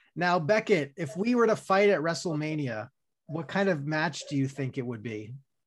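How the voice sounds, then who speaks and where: A man with an American accent uses a plain, everyday voice, speaking at a moderate pace and fairly high pitch with lively intonation. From Long Island, New York. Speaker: podcast host. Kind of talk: casual interview chat.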